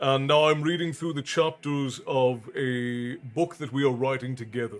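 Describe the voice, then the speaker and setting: Over music in the background, a man speaks at a medium pitch with fairly even intonation. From Ireland, Wicklow. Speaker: streamer and storyteller. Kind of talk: casual live-stream chat. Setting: live stream. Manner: halting, repeats words.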